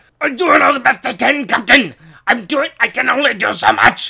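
A put-on character voice in a Scottish accent, high-pitched and raspy, at a moderate pace. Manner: snarky, put-upon.

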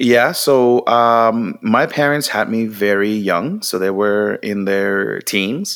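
Someone with a Puerto Rican accent speaks at a very slow pace with ordinary pitch variation and hardly any pauses. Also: man, fairly low pitch for a man. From Puerto Rico, Mayagüez. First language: Spanish. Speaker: creative strategist, marketing entrepreneur. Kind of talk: interview.

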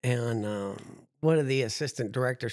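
On a very clean recording with a silent background, a man with an American accent speaks in a plain, everyday voice, medium in pitch with ordinary pitch variation. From New Jersey. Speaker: history teacher and transplant survivor. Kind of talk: casual interview. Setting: studio.

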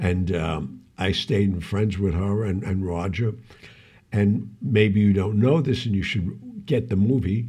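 Speaking at a fairly slow pace, a man has a fairly low pitch, a dark, mellow tone, a somewhat breathy quality and ordinary pitch variation. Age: 70s. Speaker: podcast co-host, former actor and club owner. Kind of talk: casual chat. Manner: halting.

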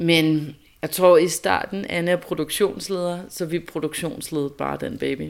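In a very clean recording with a silent background, a woman with a plain, everyday voice talks at a fairly slow pace, her fairly low pitch showing ordinary variation. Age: 30s. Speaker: mother. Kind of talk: interview testimony.

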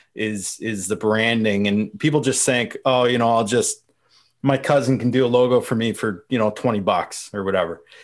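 Someone with an Ontario accent speaks at a moderate pace with fairly even intonation on a very clean recording with a silent background. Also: man, medium pitch for a man. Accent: Canadian (Ontario). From Canada, London, Ontario. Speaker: marketing consultant. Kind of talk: casual chat.

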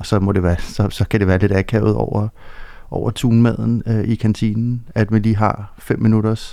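A man's fairly low voice has a dark, mellow tone and a moderate pace. The recording is very clean, with a silent background. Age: 40s. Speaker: bereaved father. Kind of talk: interview about personal loss. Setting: studio.

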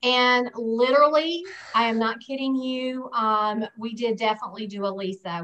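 A woman's fairly high voice with a bright, sharp tone, ordinary pitch variation and a Southern US accent. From US South. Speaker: guest sharing personal experience. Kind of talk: casual interview chat.

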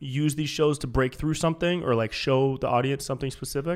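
On a very clean recording with a silent background, a man with an American accent and fairly high pitch talks at a fairly quick pace. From Northern California, US. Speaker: podcast host and comedian. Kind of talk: casual chat. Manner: animated.

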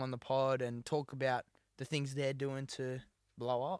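A man with an Australian accent, on a very clean recording with a silent background and a dry, close sound with no echo. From New South Wales, Australia (rural, near Dubbo). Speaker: musician and podcast co-host. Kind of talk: casual chat.

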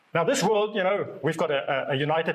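The pace is moderate. This man's pitch shows ordinary variation. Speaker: preacher. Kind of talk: sermon. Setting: church service with congregation.

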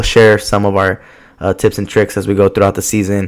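The recording is very clean, with a silent background. A man speaks at a fairly low pitch in a monotone, flat way. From US West Coast, Southeast Los Angeles. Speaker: soccer podcast host. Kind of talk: casual solo podcast monologue. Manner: casual with many fillers and restarts.

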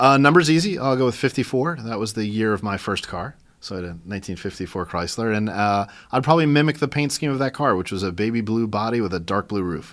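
Here a man talks at a very fast pace with an American accent and lively intonation. The recording is very clean, with a silent background. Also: medium pitch for a man. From New York. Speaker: museum director. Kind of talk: interview.

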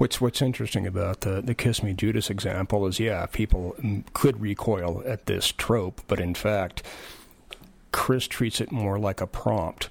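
Using a normal speaking voice, a man with a fairly low pitch speaks at a moderate pace with fairly even intonation. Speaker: novelist. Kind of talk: casual chat.

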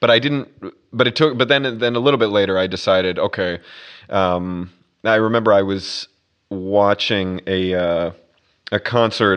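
A man with an American accent talks at a moderate pace with ordinary pitch variation. His pitch is fairly low, and the background is quiet. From US Midwest, Minnesota. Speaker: orchestral double bass player. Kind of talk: casual interview conversation. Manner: hesitant, many fillers and repetitions.

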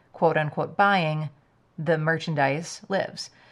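A woman's very deep, low-pitched voice with vocal fry, at a moderate pace. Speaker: podcast co-host. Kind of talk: casual chat. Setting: studio. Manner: loud; animated.

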